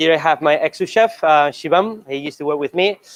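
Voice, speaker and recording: At a moderate pace, a man with a Spanish accent speaks in a dry, close sound with no echo. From Spain, Barcelona (Catalonia). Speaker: chef. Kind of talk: cooking demonstration. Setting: stage with audience. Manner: hesitant, many fillers.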